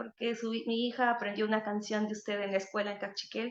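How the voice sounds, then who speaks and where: A woman is speaking. Her pace is fairly quick. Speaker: singer-songwriter. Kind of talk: panel talk. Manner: halting, many repetitions.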